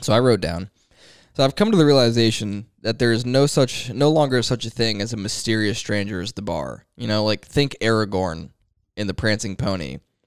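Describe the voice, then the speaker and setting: In a very clean recording with a silent background, a man with an unremarkable speaking voice talks at a fairly quick pace, at medium pitch with ordinary pitch variation. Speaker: podcast co-host. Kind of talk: casual chat.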